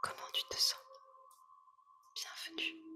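A woman is whispering. Music plays in the background. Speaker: meditation guide. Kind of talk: ASMR guided meditation. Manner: whispered; soft-spoken, slow.

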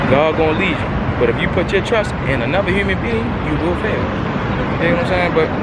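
With crowd noise in the background, a man talks at a very fast pace. The sound is dry, with no echo. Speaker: vlogger. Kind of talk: casual vlog chat. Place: street. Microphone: phone near.

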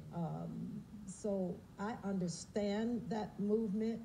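Over light background noise, a somewhat breathy woman speaks in a dark, mellow tone with ordinary pitch variation. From United States. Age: 70s. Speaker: singer; interviewee. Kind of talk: TV interview answer. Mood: calm, measured. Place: studio.

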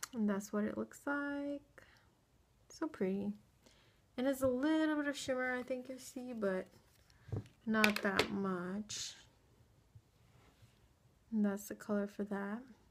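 A woman's fairly high voice at a fairly slow pace, with long, frequent pauses and loud background noise. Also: ordinary pitch variation. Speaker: beauty vlogger. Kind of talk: casual talk to camera. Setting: indoors at home, late at night. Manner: whispered, quiet. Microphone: phone near.

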